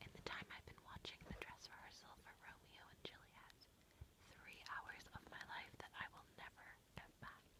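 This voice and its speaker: A whisper at a fairly slow pace. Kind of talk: read story. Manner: soft-spoken.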